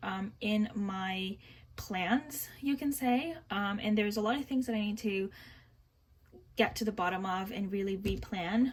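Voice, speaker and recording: A woman talks at a fairly slow pace in a fairly high, somewhat breathy voice, her pitch varying in an ordinary way. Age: 20s. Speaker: budgeting vlogger. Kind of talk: casual tutorial. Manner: halting, many fillers.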